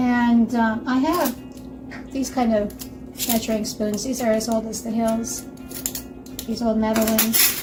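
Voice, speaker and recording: A woman with an American accent, fairly high-pitched and monotone, speaking fairly slowly with long, frequent pauses over background music and audible room echo. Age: 60s. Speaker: home cook, channel host. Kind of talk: cooking tutorial. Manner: casual, homey, with fillers.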